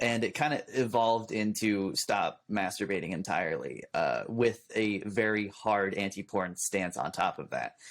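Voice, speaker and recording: On a very clean recording with a silent background, a man with a Californian accent speaks at a medium pitch. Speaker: youtuber. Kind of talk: casual chat. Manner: fast.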